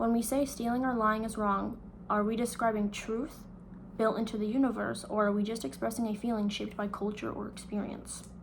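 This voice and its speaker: Somewhat breathy and fairly high-pitched, a woman talks at a fairly quick pace with fairly even intonation. Audible room echo surrounds her voice. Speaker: student. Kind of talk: reading aloud.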